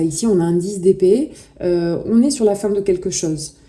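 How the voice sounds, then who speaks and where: This woman's voice sits at a medium pitch and has a dark, mellow tone. She speaks fairly slowly, with ordinary pitch variation. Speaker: tarot reader. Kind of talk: tarot reading. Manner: halting.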